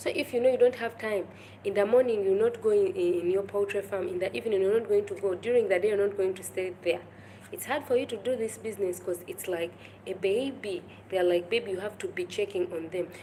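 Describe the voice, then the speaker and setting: A woman with a medium pitch and ordinary pitch variation talks at a fairly quick pace. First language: local African language. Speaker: YouTuber. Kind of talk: live stream talk. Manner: halting.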